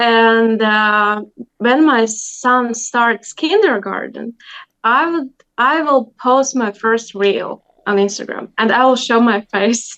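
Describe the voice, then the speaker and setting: Speaking at a very slow pace with a Latvian accent, a woman with a fairly high pitch keeps her loudness very even and her pitch variation ordinary. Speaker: language teacher. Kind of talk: interview. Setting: video call.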